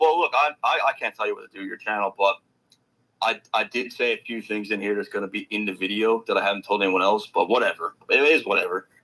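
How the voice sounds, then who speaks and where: The recording is dry and close, with no echo. A man speaks very fast. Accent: Newfoundland. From Newfoundland, Canada. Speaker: rap commentary youtuber. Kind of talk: casual interview chat.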